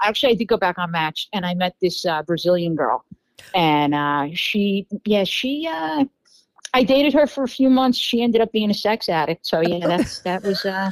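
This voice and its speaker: Speaking with a New York accent at a moderate pace, a woman at medium pitch makes very wide pitch swings in a dry, close recording with no echo. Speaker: podcast guest telling dating stories. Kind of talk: casual chat.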